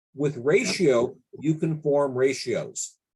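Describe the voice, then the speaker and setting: The man's voice is fairly high and somewhat breathy. His pitch varies in an ordinary way. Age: 60s. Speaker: statistics consultant. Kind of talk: tutorial.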